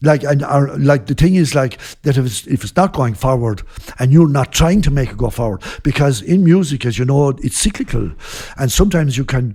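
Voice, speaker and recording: Talking at a fairly quick pace with a western Irish accent, a man has lively intonation and a fairly high pitch. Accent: Irish, west Clare. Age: 60s. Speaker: traditional band leader. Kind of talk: casual interview chat. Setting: recorded at a guesthouse during a music festival.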